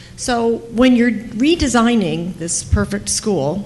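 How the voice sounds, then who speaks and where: A woman speaks with lively intonation, with audible room echo and noticeable background noise around her. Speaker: audience questioner, radio journalist. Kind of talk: audience question. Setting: conference hall audience. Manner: loud.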